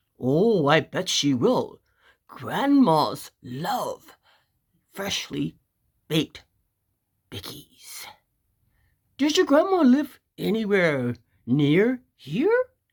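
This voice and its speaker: Using a put-on character voice, the speaker holds a middle pitch and moves at a very slow pace, leaving long, frequent pauses. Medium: read story. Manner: hesitant, fake friendly.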